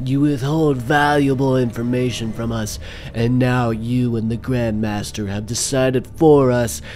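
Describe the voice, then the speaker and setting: A man speaks at a medium pitch and a fairly slow pace. Background noise is clearly heard. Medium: audio drama. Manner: stern, indignant, accusing; cold, measured, final.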